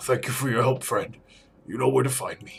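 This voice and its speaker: A man speaks in a put-on character voice that is raspy and medium in pitch. He talks at a fairly quick pace. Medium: game stream. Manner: earnest.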